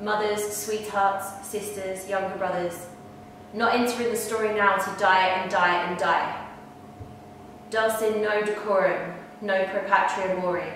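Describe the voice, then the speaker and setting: A woman speaks at a fairly slow pace in a flat, monotone way. The room echo is strong, with light background noise. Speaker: poetry performer. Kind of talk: poem performed, dramatic reading aloud. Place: home room. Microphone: camera far.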